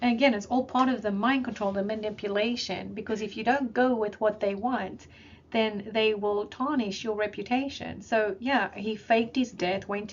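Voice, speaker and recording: Somewhat breathy, a woman speaks at a fairly high pitch with fairly even intonation. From South Africa. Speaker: spiritual video blogger. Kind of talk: monologue decoding conspiracy and spiritual messages. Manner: casual, with hesitations.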